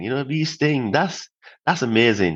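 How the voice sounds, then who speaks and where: A man speaks at a medium pitch. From Barbados. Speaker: former civil engineer, podcast guest. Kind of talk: interview.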